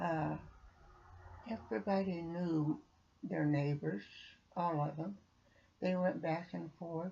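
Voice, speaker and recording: Somewhat breathy and dark, mellow in tone, a woman speaks at a very slow pace and a fairly low pitch, with long, frequent pauses. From Arkansas. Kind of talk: interview answer.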